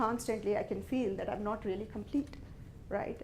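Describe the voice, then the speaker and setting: A woman's fairly high voice with vocal fry and ordinary pitch variation, in audible room echo. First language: not English. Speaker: business executive giving a talk. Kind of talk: motivational talk to an audience.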